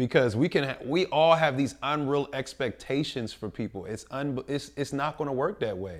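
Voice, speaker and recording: A man with an American accent uses a normal speaking voice at a medium pitch and moderate pace, on a very clean recording with a silent background. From North Philadelphia. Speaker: podcast co-host. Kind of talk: casual chat. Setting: studio.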